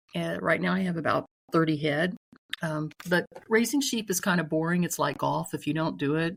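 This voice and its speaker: Speaking at a fairly quick pace, a woman with a very deep, low pitch shows vocal fry on a very clean recording with a silent background. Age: 60s. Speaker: sheep farmer. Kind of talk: casual interview.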